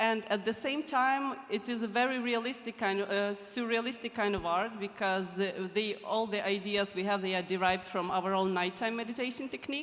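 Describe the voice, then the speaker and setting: The speaker has a non-native accent, with noticeable background noise behind the voice. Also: fairly quick pace, hardly any pauses. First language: not English. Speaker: fine artist. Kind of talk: panel discussion.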